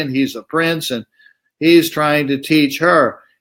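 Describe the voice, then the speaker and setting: This man has a fairly high pitch and an American accent. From United States. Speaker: spiritual teacher. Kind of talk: lecture. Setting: live online stream.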